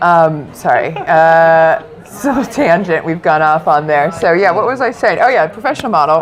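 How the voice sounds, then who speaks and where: Against noticeable background noise, a woman with an animated tone and fairly low pitch talks at a moderate pace, keeping her loudness very even and leaving hardly any pauses. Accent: American. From US South, Orlando, Florida. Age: 30s. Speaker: nutritional life coach and former TV presenter. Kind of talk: podcast interview.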